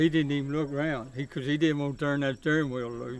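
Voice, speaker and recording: In a monotone with flat intonation, a man speaks at a fairly quick pace. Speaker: local storyteller. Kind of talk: casual storytelling. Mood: amused, relaxed.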